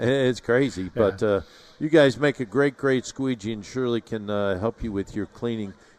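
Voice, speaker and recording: A man speaks in a plain, everyday voice at medium pitch with ordinary pitch variation. His pace is moderate, and the sound is dry and close with no echo. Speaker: radio show host. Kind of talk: live radio show interview, home improvement.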